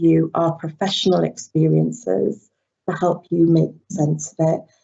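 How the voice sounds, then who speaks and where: Fairly slow speech with an English accent. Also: woman. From England. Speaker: university lecturer. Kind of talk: webinar presentation. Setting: online webinar.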